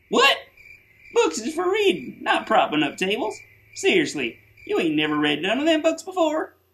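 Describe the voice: A cartoonish character voice with a high pitch speaks at a moderate pace. Long pauses come often.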